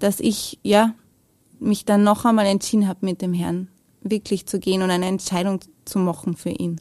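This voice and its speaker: A woman with a slight Viennese accent speaks at a fairly slow pace in a medium pitch. Her intonation is monotone and flat, and the recording is very clean with a silent background. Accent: Viennese-area Austrian German, little dialect. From Lower Austria, near Vienna. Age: 30s. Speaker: mother and business owner. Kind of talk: testimony interview. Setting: studio.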